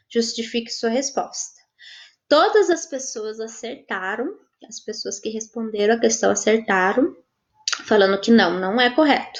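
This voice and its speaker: Speaking at a fairly slow pace, a woman with a fairly high pitch and ordinary pitch variation shows big swings in loudness. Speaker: volunteer teacher. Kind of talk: online class Q&A. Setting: live stream. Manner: halting.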